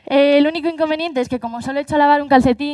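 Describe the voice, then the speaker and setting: A woman speaks over noticeable background noise. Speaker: paralympic athlete and speaker. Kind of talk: live talk.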